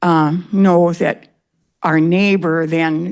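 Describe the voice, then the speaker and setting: Her intonation fairly even, a woman speaks with a fairly low pitch. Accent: Upper Midwest. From northern Wisconsin, Hayward area. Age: 80s+. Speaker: resident giving public comment. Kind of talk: public hearing comment.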